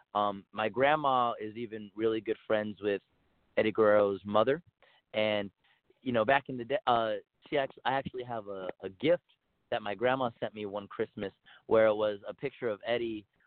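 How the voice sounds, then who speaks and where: Using an ordinary speaking voice, a man with an American accent talks at a moderate pace, his medium pitch held in fairly even intonation. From El Paso, Texas. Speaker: professional wrestler. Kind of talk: interview.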